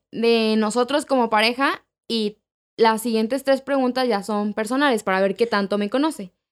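A woman with a fairly high pitch and a normal speaking voice speaks at a fairly slow pace with ordinary pitch variation on a very clean recording with a silent background. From Mexico City. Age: 20s. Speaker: podcast co-host. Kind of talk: casual chat.

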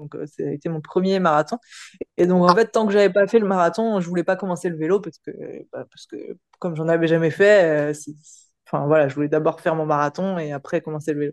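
An ordinary speaking voice moves at a fairly quick pace with ordinary pitch variation and big swings in loudness, the sound dry and close with no echo. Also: woman, fairly low pitch for a woman. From Paris region, France. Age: 30s. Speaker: firefighter and amateur triathlete. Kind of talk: casual interview chat.

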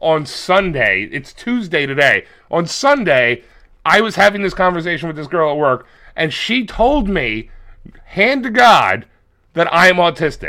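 A man talks at a high pitch in an animated tone. His bright, sharp voice swings very widely in pitch. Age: 40s. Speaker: wrestling podcast co-host. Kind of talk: casual chat.

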